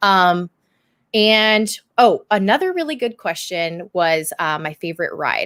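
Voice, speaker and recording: A woman speaks with a Californian accent in a dry, close recording with no echo, very clean and set against a silent background. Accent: General American (Californian). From Southern California. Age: 20s. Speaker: YouTuber and podcast co-host. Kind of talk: casual chat. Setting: live stream.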